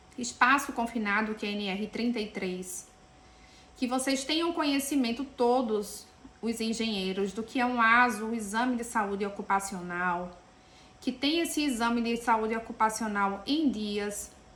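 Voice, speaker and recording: The speaker has a Pernambuco accent and a fairly slow pace with ordinary pitch variation. Audible room echo surrounds the voice. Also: woman, fairly high pitch for a woman. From Pernambuco, Brazil. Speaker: engineer and safety lecturer. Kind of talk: lecture.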